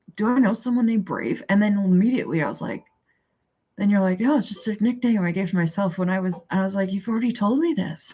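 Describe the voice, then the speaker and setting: A woman's somewhat breathy, dark, mellow voice at a very fast pace, in a strong Canadian accent. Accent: heavy Canadian. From Canada. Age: 40s. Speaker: livestreamer. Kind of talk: casual chat.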